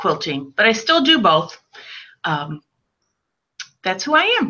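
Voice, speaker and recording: A woman with a Chicago accent speaks at a fairly slow pace. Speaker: quilter and quilt designer. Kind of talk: casual interview.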